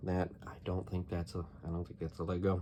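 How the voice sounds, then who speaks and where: A man speaks quietly in a very deep, low voice. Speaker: hobbyist YouTuber sorting toy bricks. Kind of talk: casual narrated tutorial while sorting. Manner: naturally loud, trying to talk quieter; hesitant with many fillers. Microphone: volume may be too quiet.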